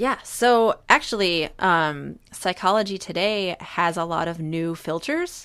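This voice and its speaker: In a very clean recording with a silent background, a woman speaks at a very slow pace in a fairly low pitch. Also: ordinary pitch variation, hardly any pauses. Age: 30s. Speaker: therapist. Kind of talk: casual chat.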